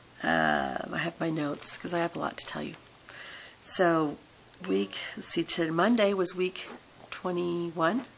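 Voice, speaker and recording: Speaking at a fairly slow pace with long, frequent pauses, a woman uses a fairly low pitch and ordinary pitch variation over noticeable background noise. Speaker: vlogger sharing weight loss surgery journey. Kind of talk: casual vlog update.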